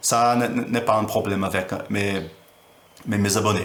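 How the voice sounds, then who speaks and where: In a room with audible echo, a man with a non-native accent speaks at a fairly slow pace and fairly low pitch, with fairly even intonation. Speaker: teacher. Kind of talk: tutorial. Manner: halting. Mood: friendly, warm.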